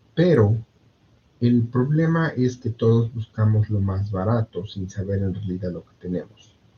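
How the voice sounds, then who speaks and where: At a fairly slow pace, a man speaks in a dark, mellow, somewhat breathy tone with ordinary pitch variation. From Mexico, Puebla. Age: 30s. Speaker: insurance agent. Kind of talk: interview. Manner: halting, many fillers and repetitions.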